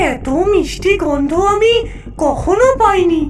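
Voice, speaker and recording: A female-sounding cartoonish character voice sings out its words in an extremely high pitch, with clear background noise behind it. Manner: relishing, sing-song with mm sounds.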